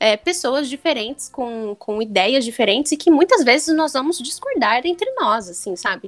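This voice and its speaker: Noticeable background noise behind a woman's lively intonation. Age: 20s. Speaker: lawyer, podcast guest. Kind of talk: casual chat.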